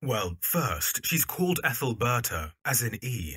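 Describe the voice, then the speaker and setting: A man does a raspy, put-on character voice at a medium pitch with very wide pitch swings. The sound is dry and close, with no echo. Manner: warm, eager.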